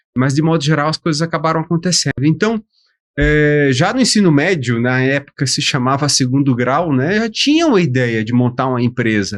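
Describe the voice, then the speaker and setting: In an ordinary speaking voice, a man with a fairly high pitch talks at a moderate pace with lively intonation against a quiet background. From Brasília, Brazil (born in Aracaju, Sergipe). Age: 50s. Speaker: professor and business founder. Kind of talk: podcast interview. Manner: casual.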